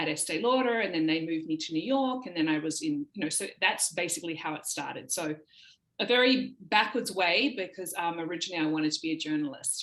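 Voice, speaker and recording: Fairly low in pitch, a woman with an Australian accent talks at a very fast pace with lively intonation. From Australia, Sydney. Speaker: talent agency founder. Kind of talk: podcast interview.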